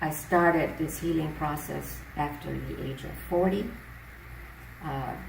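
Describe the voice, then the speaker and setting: Long, frequent pauses and big swings in loudness mark this fairly slow speech, heard with audible room echo and noticeable background noise. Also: woman. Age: 70s. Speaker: natural health teacher. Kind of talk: interview. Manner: hesitant fillers.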